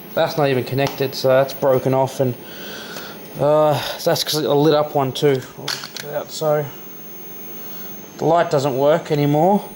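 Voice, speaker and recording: Against noticeable background noise, a man with a fairly high pitch speaks in a monotone, flat intonation at a moderate pace, with long, frequent pauses. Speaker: hobbyist repair vlogger. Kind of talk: casual tutorial-style vlog. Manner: soft-spoken; casual, hesitant with fillers.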